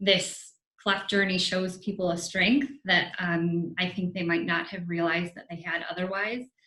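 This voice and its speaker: A woman with a fairly low pitch and fairly even intonation, talking at a fairly slow pace. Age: adult. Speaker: advisory council member born with cleft. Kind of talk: panel discussion. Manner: hesitant with fillers.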